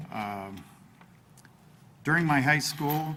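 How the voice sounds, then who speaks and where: The intonation stays fairly even. The speaker has a Midwestern American accent. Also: man. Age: 60s. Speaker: local politician, village president candidate. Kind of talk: candidate forum opening statement.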